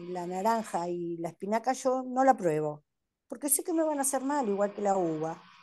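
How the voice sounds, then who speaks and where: A woman's dark, mellow voice with lively intonation at a moderate pace. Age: 60s. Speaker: patient sharing experience. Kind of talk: testimony. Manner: hesitant, many fillers. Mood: calm, reflective. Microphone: video call.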